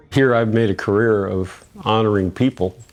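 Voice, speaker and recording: Over noticeable background noise, a man with an American accent talks at a fairly quick pace. His pitch is fairly low, with ordinary pitch variation. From US Midwest, St. Louis. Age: 80s+. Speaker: sculptor. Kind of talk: interview.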